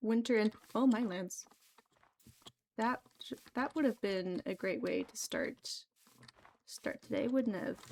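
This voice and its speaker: A soft-spoken woman talks at a fairly slow pace with a fairly high pitch and ordinary pitch variation. She pauses often and at length, in a dry, close sound with no echo. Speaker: gaming streamer. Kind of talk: casual live gameplay commentary. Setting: livestream at home computer. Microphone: new mic, voice quiet, keyboard loud.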